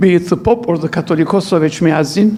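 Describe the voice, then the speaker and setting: Noticeable background noise sits behind a man talking at a moderate pace in a high pitch with ordinary pitch variation. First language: not English. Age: 80s+. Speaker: archbishop and lecturer. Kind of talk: lecture. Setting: church hall with audience.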